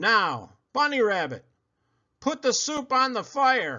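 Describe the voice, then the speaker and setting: Gruff and growling, this put-on character voice moves at a fairly slow pace with lively intonation. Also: man, extremely high pitch for a man. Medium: read story. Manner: snarling, gruff, bossy.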